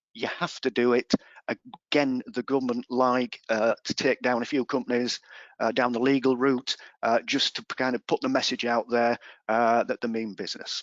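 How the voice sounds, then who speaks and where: With an English accent, a man speaks in a medium pitch at a moderate pace, his intonation monotone and flat. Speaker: employment law advisor. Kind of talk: webinar presentation. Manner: hesitant fillers.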